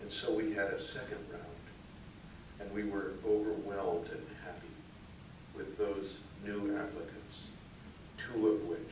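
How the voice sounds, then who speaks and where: Over noticeable background noise and audible room echo, a man speaks with fairly even intonation and long, frequent pauses. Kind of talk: public hearing testimony. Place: meeting room. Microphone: camera far.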